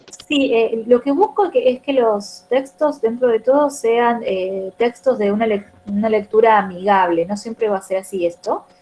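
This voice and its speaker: There is noticeable background noise as a woman speaks. Her pitch is fairly high and her pace fairly slow. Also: ordinary pitch variation, hardly any pauses. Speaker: teacher trainer. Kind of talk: online class.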